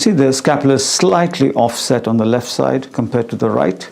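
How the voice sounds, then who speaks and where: A man's voice with fairly even intonation, amid noticeable background noise. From India. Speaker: doctor. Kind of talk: medical teaching demonstration.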